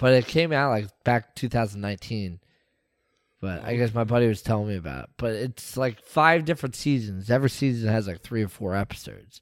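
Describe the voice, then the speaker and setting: On a very clean recording with a silent background, a man with an unremarkable speaking voice talks fairly quickly at a medium pitch with lively intonation. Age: 30s. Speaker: sports podcast co-host. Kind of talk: casual chat.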